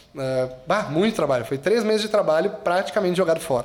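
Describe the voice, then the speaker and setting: A man uses a plain, everyday voice, talking at a fairly quick pace with ordinary pitch variation. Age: 30s. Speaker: agency director and university professor. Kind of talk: casual interview chat.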